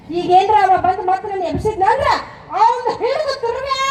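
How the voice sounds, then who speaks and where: A woman uses a put-on character voice at an extremely high pitch and a moderate pace. There is clear background noise and a slight echo. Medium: stage play. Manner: bold, teasing.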